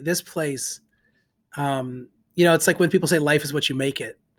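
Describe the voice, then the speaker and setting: A man's fairly high, fairly quick delivery in an ordinary speaking voice, with fairly even intonation, on a very clean recording with a silent background. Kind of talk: casual discussion of scripture and community.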